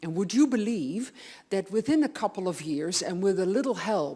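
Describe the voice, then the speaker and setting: A woman speaks with a Dutch accent in a dark, mellow tone. Her pitch is medium and her intonation lively. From Netherlands. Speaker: audiologist. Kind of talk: lecture. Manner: animated.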